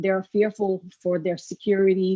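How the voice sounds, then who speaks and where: A woman with a French accent speaks at a medium pitch. Her intonation is monotone and flat. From France. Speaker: public commenter. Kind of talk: public comment at meeting. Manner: slow.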